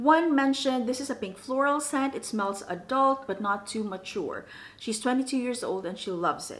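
A woman's high-pitched voice with lively intonation. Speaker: perfume reviewer. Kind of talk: casual talk to camera. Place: home room.

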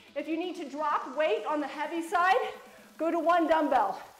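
The pace is fairly slow. Audible room echo surrounds the voice. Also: woman. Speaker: fitness instructor. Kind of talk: workout coaching cues. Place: gym. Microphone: camera far.

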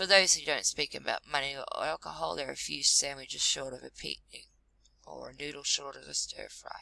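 Speaking at a moderate pace, a woman talks with an Australian accent. The sound is dry and close, with no echo. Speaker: vlogger. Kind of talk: reading aloud. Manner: halting.

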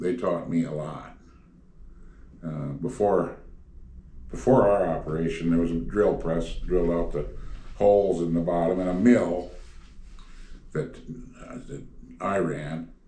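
A man's very deep, low voice with a dark, mellow tone, fairly slow with long, frequent pauses and audible room echo. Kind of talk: interview answer. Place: home room.

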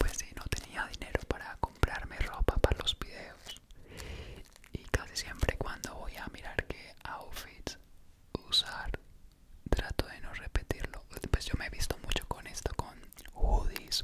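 Against loud background noise, a man speaks at a fairly slow pace with long, frequent pauses. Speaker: content creator. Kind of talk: casual vlog chat. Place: home room. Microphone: studio mic.

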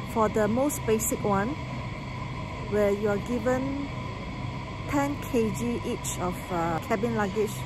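Loud background noise accompanies a woman speaking at a fairly slow pace. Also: dry sound with no echo. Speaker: travel vlogger. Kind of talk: casual vlog chat. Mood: explaining, mildly frustrated. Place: station. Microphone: phone near.

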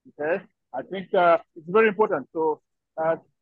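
A man's high-pitched voice with fairly even intonation, dry with no echo against a quiet background. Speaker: participant. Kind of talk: video call discussion. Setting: video call from workplace. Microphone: video call.

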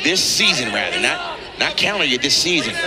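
A man with an animated, enthusiastic tone and music in the background. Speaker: color commentator. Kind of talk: live sports commentary. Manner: animated, excitable, enthusiastic analysis with repeats.

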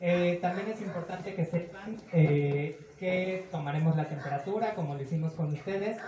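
A man speaks at a moderate pace in a high pitch with ordinary pitch variation. Audible room echo and noticeable background noise are present. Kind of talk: welcome speech. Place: cafe.

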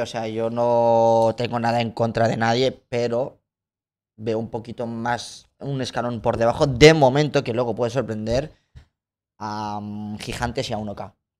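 A man speaks at a very slow pace. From Georgia, moved to Spain as a teen. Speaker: content creator and footballer; content creator. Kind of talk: casual interview chat. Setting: livestream studio. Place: studio. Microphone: studio mic.

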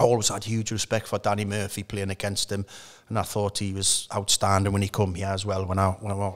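A man with a Geordie accent speaks at a fairly low pitch against a quiet background. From north-east England (Newcastle). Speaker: former professional footballer; guest. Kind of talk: casual interview. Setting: at the stadium bar. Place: studio. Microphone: studio mic.

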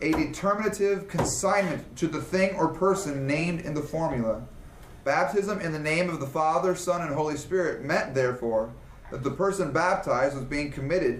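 There is light background noise and audible room echo as a man talks at a fairly quick pace. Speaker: class teacher. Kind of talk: reading aloud in a lecture. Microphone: camera far.

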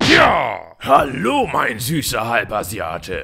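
Using a cartoonish character voice, a man speaks at a very slow pace. His medium-pitched voice is raspy. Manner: bossy, aggressive.

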